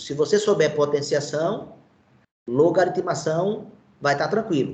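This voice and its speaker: A man with a high-pitched voice and lively intonation speaks at a fairly slow pace, with audible room echo. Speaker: teacher. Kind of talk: online lecture.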